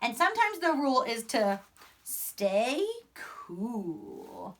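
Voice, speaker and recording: Using a put-on character voice, a woman talks very slowly at a high pitch. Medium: read story. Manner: calm, patient.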